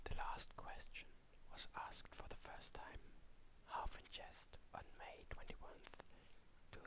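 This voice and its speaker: A man whispers in a soothing tone at a fairly slow pace. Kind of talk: whispered story reading. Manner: whispered, soft, soothing.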